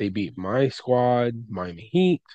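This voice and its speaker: Here is a man with a normal speaking voice and a medium pitch. He talks at a fairly slow pace. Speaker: podcast host. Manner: casual, chatty, with frequent fillers and restarts.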